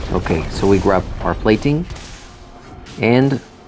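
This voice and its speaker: A man speaks at a fairly slow pace in a Spanish accent. Music plays in the background. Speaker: gamer commentator. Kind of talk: gameplay commentary.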